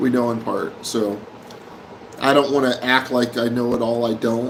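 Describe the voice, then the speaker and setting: A man talks at a fairly slow pace with an American accent. Noticeable background noise sits behind him. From Oklahoma, Tulsa. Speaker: live stream host. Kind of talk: casual live stream chat. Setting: live stream from Manila.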